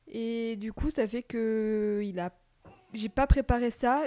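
The woman's intonation stays fairly even, and the sound is dry and close with no echo. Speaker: mother of a toddler. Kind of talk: casual chat. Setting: home recording in host's apartment.

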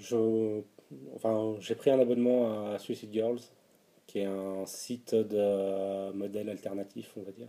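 Very slowly, a man speaks at a fairly low pitch. His intonation is monotone and flat. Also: big swings in loudness. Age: 30s. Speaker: interviewee sharing personal testimony. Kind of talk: personal testimony interview. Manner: hesitant, with frequent fillers and repetitions.

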